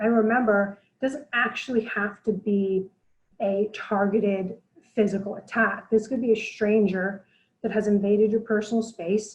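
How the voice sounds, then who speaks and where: Soft-spoken and somewhat breathy, a woman talks at a moderate pace with a fairly high pitch. Her intonation stays monotone and flat. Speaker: blogger and self-defense presenter. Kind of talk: webinar presentation. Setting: online webinar.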